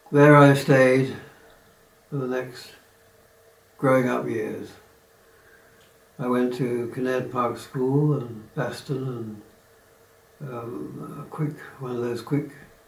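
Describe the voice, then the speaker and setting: A man's medium-pitched voice at a very slow pace, with long, frequent pauses, fairly even intonation, noticeable background noise and audible room echo. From southeast England (Kent, Bromley). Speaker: retiree recounting life story. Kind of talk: oral history reminiscence. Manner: hesitant, with fillers and restarts.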